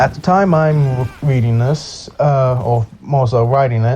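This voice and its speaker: A man speaks at a medium pitch with ordinary pitch variation, and there is noticeable background noise. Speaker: gaming video narrator. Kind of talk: scripted narration. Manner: sped up; casual, halting.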